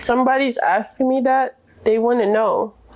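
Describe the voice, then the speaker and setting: A woman talks at a moderate pace with a high pitch. Noticeable background noise is present. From Jamaica. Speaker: immigrant interviewee. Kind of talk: interview.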